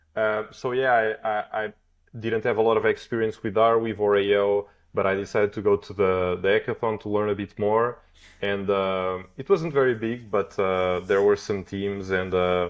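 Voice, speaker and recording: A man with a Portuguese accent, a fairly low pitch, fairly even intonation and a moderate pace. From Portugal. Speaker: blockchain developer. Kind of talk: podcast interview. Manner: hesitant, many fillers.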